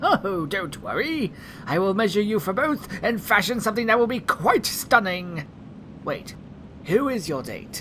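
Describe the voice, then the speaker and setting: Someone uses a fairly high, put-on character voice at a moderate pace, with clear background noise. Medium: audio drama. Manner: flamboyant, fussy.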